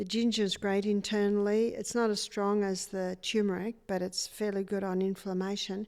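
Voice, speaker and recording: A woman with an Australian accent and a dark, mellow tone, at a medium pitch with monotone, flat intonation and a moderate pace, in a very clean recording with a silent background. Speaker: natural health educator. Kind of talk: interview.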